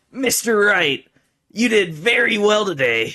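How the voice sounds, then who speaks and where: Putting on a character voice, the man pitches it high and delivers it at a fairly slow pace. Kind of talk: formal, polite.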